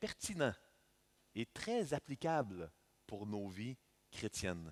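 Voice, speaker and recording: A man in a Canadian French accent, with very wide pitch swings, in a dry, close sound with no echo. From Canada. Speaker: visiting preacher. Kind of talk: sermon. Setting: church. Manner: halting with frequent fillers.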